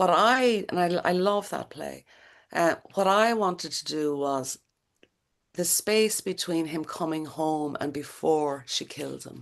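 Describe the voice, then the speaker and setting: A woman with an Irish accent, fairly low in pitch with ordinary pitch variation and big swings in loudness, over a quiet background. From Ireland. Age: 60s. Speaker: playwright. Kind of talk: interview. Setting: video call. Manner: halting.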